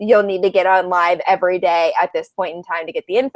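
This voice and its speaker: A woman's medium-pitched voice at a very fast pace, dry and close with no echo. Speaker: live video show host. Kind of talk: casual chat. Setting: video call.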